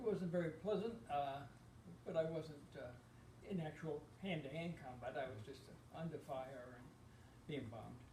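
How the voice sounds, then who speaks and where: Over noticeable background noise and audible room echo, a man with an American accent speaks at a fairly high pitch and moderate pace, with ordinary pitch variation and long, frequent pauses. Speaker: war veteran. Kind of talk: oral history interview. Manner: halting.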